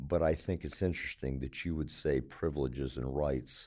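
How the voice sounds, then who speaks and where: At a moderate pace, a man with an American accent and a very deep, low voice of dark, mellow tone speaks with lively intonation and vocal fry. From Baltimore, Maryland. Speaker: retired police officer, hospital security. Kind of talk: interview.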